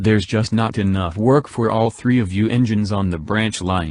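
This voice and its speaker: In a put-on character voice, a man talks at a moderate pace with a fairly low pitch. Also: quiet background. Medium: read story. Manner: calm, matter-of-fact.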